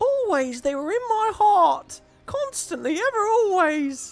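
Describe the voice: In a put-on character voice, the speaker goes extremely high in pitch with very wide swings, talking at a fairly slow pace over faint music in the background.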